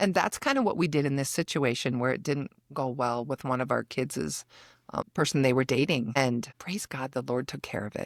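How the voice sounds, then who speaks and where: In an American accent, the voice moves at a moderate pace with ordinary pitch variation, on a very clean recording with a silent background and a dry, close sound with no echo. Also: woman, very deep, low pitch for a woman. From Minnesota. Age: 50s. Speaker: life coach and podcaster. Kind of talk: interview.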